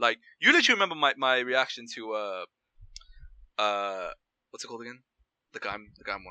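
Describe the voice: The voice is loud and bright with a sharp tone, moving at a fairly quick pace with lively intonation. It sounds dry and close, with no echo. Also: man, medium pitch for a man.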